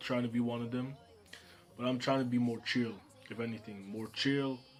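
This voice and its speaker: Music plays in the background as a man talks in a medium pitch with monotone, flat intonation. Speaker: manga creator and YouTuber. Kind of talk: casual vlog monologue. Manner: soft-spoken.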